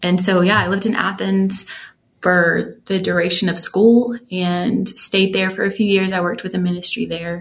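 Somewhat breathy and with an American accent, a woman speaks at a medium pitch with fairly even intonation. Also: moderate pace. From US South, Georgia (metro Atlanta). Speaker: worship singer and songwriter. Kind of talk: casual interview chat.

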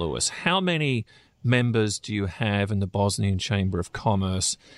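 Over a silent background in a very clean recording, a man with a plain, everyday voice speaks at a fairly low pitch and moderate pace, his intonation lively and the sound dry and close with no echo. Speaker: news editor and podcast host. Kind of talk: professional interview, news podcast.

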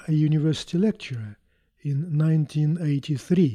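With a Russian accent, a dark, mellow voice speaks at a moderate pace, dry and close with no echo, on a very clean recording with a silent background. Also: man. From Russia, Moscow. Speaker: chief scientist, physicist. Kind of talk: interview, technical explanation. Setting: on site at a company.

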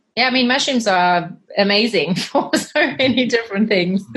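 With ordinary pitch variation and a somewhat breathy tone, the speech runs at a moderate pace. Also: woman. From South Africa. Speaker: cleaning business cofounder. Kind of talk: podcast interview.

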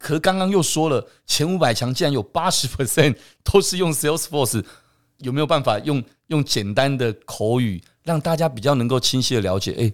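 The recording is very clean, with a silent background, as a man with an ordinary speaking voice talks at a medium pitch. His pace is moderate and his intonation lively. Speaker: podcast host. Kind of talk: interview conversation.

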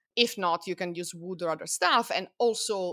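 The recording is very clean, and the background is silent. A woman talks with ordinary pitch variation. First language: non-English. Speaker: Egyptology researcher. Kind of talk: casual chat. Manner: halting.

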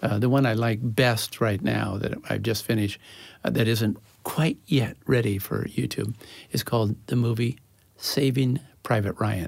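A man speaks at a moderate pace and medium pitch, with vocal fry and fairly even intonation. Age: 70s. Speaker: nonverbal communication educator. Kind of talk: interview conversation. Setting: studio.

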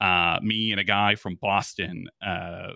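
A man speaks with a bright, sharp tone. The sound is dry and close, with no echo.

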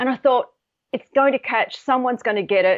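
A woman with an Australian accent. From Australia, Sydney. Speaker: colour psychology expert and author. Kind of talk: interview.

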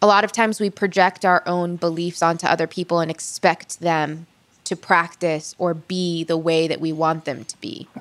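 This woman has a normal speaking voice, fairly low in pitch, and talks at a moderate pace with fairly even intonation. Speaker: podcast host and journalist. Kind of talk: narrated storytelling and interview.

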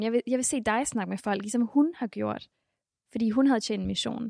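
A woman speaks at a high pitch and a moderate pace with ordinary pitch variation. The recording is very clean and dry, close with no echo and a silent background. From Denmark, Mexican family background. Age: 20s. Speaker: church member and convert. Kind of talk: interview testimony. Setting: church building.

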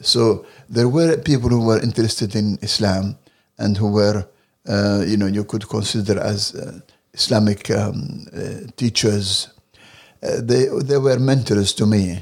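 On a very clean recording with a silent background, a man with an Arabic accent speaks at a fairly slow pace, his fairly low pitch showing ordinary variation. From Libya. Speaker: translator and political activist. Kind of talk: interview. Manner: hesitant, many fillers.

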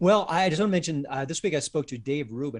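Over a quiet background, a man with a plain, everyday voice speaks at a fairly quick pace. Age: 50s. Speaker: film critic. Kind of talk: casual chat.

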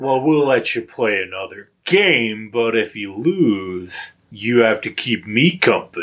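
Using a put-on character voice, a man speaks at a fairly slow pace with a medium pitch and lively intonation. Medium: actual play. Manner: drawling, condescending.

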